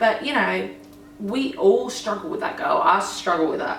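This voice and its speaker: A woman's voice at a medium pitch and a moderate pace, with noticeable background noise and audible room echo. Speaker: law of attraction vlogger. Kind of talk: casual Q&A vlog.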